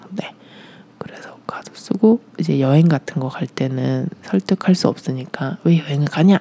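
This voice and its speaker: Noticeable background noise surrounds speech delivered at a fairly slow pace. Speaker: former ballet dancer and performer. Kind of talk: interview about personal life.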